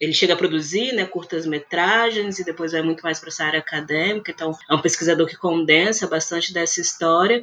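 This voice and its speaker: A woman with an unremarkable speaking voice talks at a fairly quick pace and a fairly low pitch, with hardly any pauses, fairly even intonation and big swings in loudness. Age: 30s. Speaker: film critic and researcher. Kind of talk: casual interview.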